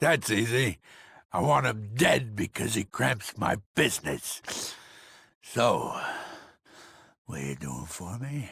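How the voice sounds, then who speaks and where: A man uses a put-on character voice that is raspy and medium in pitch, with very wide pitch swings, a fairly slow pace and long, frequent pauses. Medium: video game. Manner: menacing, self-important.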